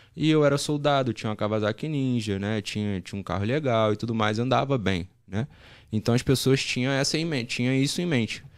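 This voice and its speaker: There is a quiet background. Over it, a man talks with lively intonation. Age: 20s. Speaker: sports betting tipster, former marine; podcast guest. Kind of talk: podcast interview. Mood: relaxed, storytelling. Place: studio. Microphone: studio mic.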